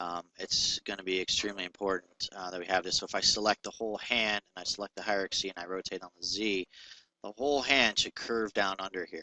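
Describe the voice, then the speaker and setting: A man speaks very fast in a fairly low pitch. His intonation stays fairly even. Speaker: 3D rigging tutorial maker. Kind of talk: screen-recorded software tutorial. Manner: many fillers, uh and um.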